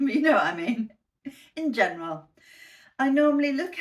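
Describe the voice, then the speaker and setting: This woman speaks with a British accent. Her intonation is lively. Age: 60s. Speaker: fashion haul vlogger. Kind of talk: casual talk to camera.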